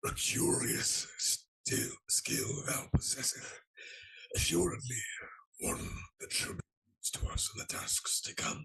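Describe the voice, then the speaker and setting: A man puts on a character voice. He speaks at a fairly slow pace. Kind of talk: archaic formal speech. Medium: actual play. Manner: regal, measured.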